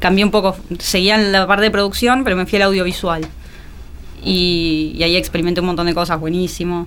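A woman's fairly quick, fairly even-toned speech comes through noticeable background noise. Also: medium pitch for a woman. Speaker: executive producer. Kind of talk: casual interview.

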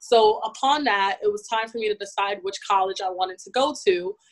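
An unremarkable speaking voice belongs to a woman with an American accent who talks at a moderate pace with ordinary pitch variation. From US, New York City (Bronx). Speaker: fashion technology professional. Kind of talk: interview. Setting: podcast.

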